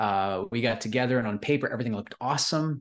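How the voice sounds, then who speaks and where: A man with a Canadian accent and a plain, everyday voice speaks at a moderate pace and medium pitch over a quiet background. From Canadian prairies. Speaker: entrepreneur. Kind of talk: interview.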